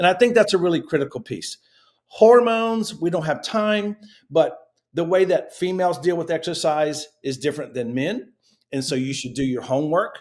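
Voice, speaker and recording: A man talks with a high voice for a man. His intonation is lively and his pace is moderate. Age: 50s. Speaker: fitness education director. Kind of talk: interview. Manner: animated.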